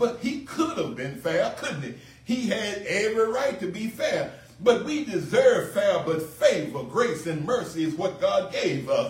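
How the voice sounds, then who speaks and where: A man with an American accent speaks at a fairly slow pace over noticeable background noise. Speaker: pastor. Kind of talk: sermon. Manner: earnest pulpit delivery, repeating phrases for emphasis.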